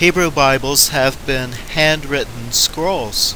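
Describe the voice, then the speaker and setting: A man with an American accent speaks at a very slow pace. Noticeable background noise is present. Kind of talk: religious educational narration over slides.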